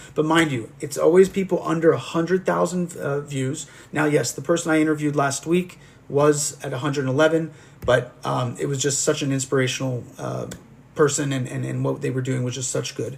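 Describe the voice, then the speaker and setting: Fairly quick speech from a man with a fairly high pitch and fairly even intonation. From US (moved from France at age 2). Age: 40s. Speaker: life coach and livestream interviewer. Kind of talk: live stream chat with viewers. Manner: halting, many fillers and repetitions.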